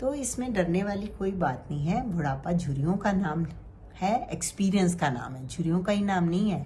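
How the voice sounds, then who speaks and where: A woman's somewhat breathy, medium-pitched voice with lively intonation at a moderate pace. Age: 60s. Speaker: cancer survivor. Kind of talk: motivational talk.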